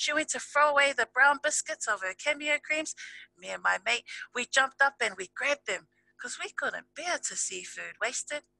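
A woman with a high pitch raises and projects her voice in a bright, sharp tone, the sound dry with no echo. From New Zealand. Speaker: spoken word poet. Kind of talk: slam poetry performance. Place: home room. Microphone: headset.

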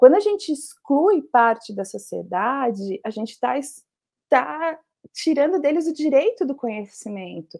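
A woman with a dark, mellow tone and a high pitch speaks at a fairly slow pace, her pitch swinging very widely, in front of a quiet background. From Brazil. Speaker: journalist and food podcast researcher; journalist, food podcast researcher. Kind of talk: casual interview. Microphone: earbuds.

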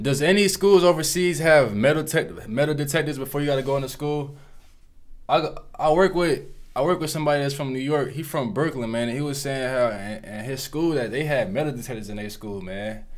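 A man talks at a fairly quick pace and fairly high pitch, with ordinary pitch variation and audible room echo. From Florida, US. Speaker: YouTube reaction host. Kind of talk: casual reaction commentary. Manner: animated.

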